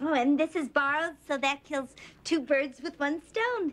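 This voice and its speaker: A woman uses a high-pitched, put-on character voice. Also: moderate pace. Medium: short film.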